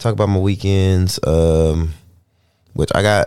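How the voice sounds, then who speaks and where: At a moderate pace and with ordinary pitch variation, the voice comes through on a very clean recording with a silent background. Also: man. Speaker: solo podcast host. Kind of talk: casual monologue. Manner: halting, many fillers and repeats.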